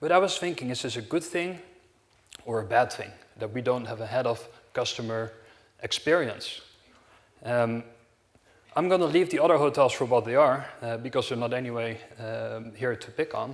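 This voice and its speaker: The speaker talks with a Dutch accent. Long pauses come frequently. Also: man, medium pitch for a man, ordinary pitch variation, moderate pace. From Netherlands, Amsterdam. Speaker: hotel company director. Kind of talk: conference talk. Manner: halting, many fillers.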